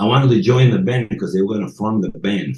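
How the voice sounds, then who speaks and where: A man's voice with vocal fry. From Sicily, Italy. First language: Italian (Sicilian). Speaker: podcast guest. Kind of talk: casual interview. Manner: halting.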